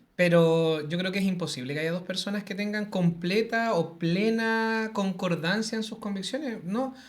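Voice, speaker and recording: With a Chilean accent, the speaker goes at a fairly slow pace. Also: hardly any pauses. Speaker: teacher and social media creator. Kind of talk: interview conversation.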